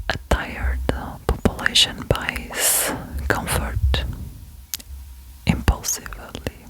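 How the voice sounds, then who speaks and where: Whispering at a very slow pace with long, frequent pauses, a woman sounds calm over noticeable background noise. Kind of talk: ASMR whispered reflection. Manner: whispered, soft, sweet; calm, slow, relaxing.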